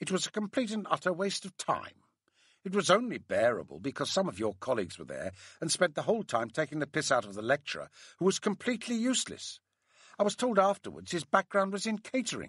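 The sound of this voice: A man's put-on character voice, fairly high and fairly bright with a slightly husky edge, very wide pitch swings and a fairly quick pace, recorded dry and close with no echo, very clean, over a silent background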